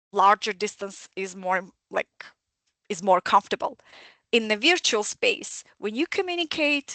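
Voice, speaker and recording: Bright and sharp in tone, a woman's fairly high voice comes through with a dry, close sound and no echo. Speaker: academic speaker on communication. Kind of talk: webinar presentation.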